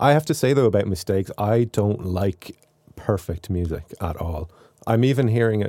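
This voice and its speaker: This man's intonation is lively, with a slight Irish accent. The sound is dry and close, with no echo. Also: fairly low pitch for a man, moderate pace. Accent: mild Irish. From Ireland. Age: 40s. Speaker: composer and YouTuber. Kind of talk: casual interview.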